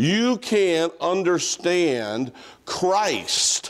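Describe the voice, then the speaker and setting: Lively intonation colors a man's speech. Nothing can be heard behind him. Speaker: pastor. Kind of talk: sermon. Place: church.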